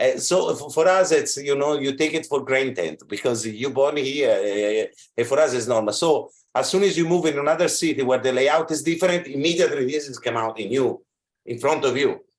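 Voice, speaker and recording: A man with an Italian accent, fairly high in pitch, fairly quick, with ordinary pitch variation. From Italy. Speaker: fashion school representative. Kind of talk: video call discussion.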